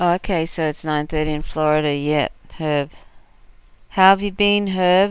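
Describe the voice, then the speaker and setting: In a very clean recording with a silent background, a woman with an Australian accent speaks at a moderate pace in a fairly low pitch with fairly even intonation and long, frequent pauses. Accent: mostly Australian. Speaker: livestream host. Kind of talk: casual chat. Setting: live stream.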